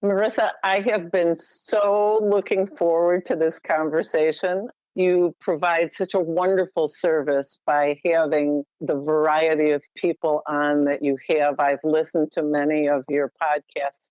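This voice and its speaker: Talking at a fairly slow pace with hardly any pauses, a woman has an ordinary speaking voice, a fairly low pitch and ordinary pitch variation. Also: very even loudness. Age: 60s. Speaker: health coach. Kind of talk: interview chat.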